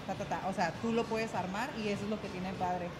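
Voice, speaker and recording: Noticeable background noise fills the clip. A woman talks fairly quickly over it. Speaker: guest. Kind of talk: interview answer. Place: gym. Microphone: studio mic.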